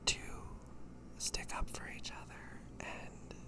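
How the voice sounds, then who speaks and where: A man whispering over noticeable background noise. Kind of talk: ASMR rambling talk. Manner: whispered.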